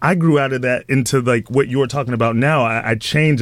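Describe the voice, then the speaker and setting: At a moderate pace, a man talks with medium pitch and ordinary pitch variation. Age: 20s. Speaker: TV host. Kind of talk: casual radio chat. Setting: radio studio.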